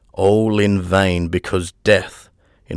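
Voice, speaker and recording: A man's very deep, low voice in a monotone, flat delivery, dry and close with no echo, on a very clean recording with a silent background. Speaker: audiobook narrator. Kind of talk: dark, spooky audiobook narration.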